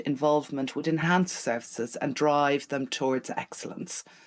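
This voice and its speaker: A woman's very deep, low voice in an Irish accent on a very clean recording with a silent background. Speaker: charity chief executive. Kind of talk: interview.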